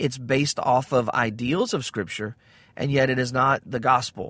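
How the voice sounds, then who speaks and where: Over a quiet background, a man with a Southern US accent speaks at a moderate pace and a medium pitch. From US South. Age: 40s. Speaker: podcast host. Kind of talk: religious commentary monologue. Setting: in a car. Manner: frequent filler words.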